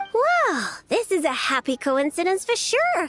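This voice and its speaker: A woman puts on a character voice, extremely high in pitch. Her tone is bubbly. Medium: game stream. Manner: fast, bubbly.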